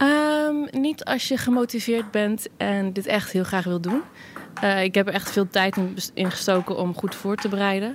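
Here a woman has an unremarkable speaking voice with medium pitch and ordinary pitch variation. She talks at a fairly slow pace. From Netherlands. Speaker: tech support employee. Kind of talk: casual interview. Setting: office, later a pub.

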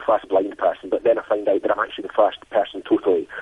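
A man talks at a very fast pace in a Scottish accent. Noticeable background noise is present. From Scotland. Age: 50s. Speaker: blind adventure athlete. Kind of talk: interview.

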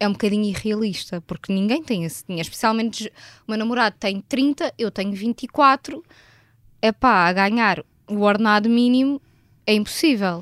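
It's a plain, everyday voice from a woman at a fairly high pitch, moving at a moderate pace with ordinary pitch variation. The recording is very clean, with a silent background and a dry, close sound with no echo. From Portugal, Vila Franca de Xira. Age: 20s. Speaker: billing clerk. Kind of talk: interview. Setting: studio.

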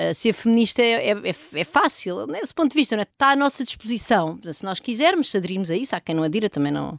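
Talking at a very fast pace, a woman with a fairly high pitch makes very wide pitch swings and big swings in loudness, heard dry and close with no echo in a very clean recording over a silent background. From Portugal, rural Oeste region near Benedita. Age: 40s. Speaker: economist and professor. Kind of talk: interview. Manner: halting, many fillers and repetitions.

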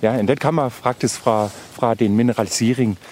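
A man speaks with a German accent at a moderate pace. His intonation is fairly even, and there is noticeable background noise. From Germany, Brandenburg. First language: German (speaking Danish). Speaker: senior researcher. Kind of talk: field interview. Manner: halting, mixing Danish and German.

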